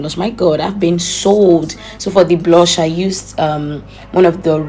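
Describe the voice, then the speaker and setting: A woman at a fairly low pitch with fairly even intonation amid noticeable background noise. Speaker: beauty vlogger. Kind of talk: makeup tutorial voiceover. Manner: fast; casual, chatty.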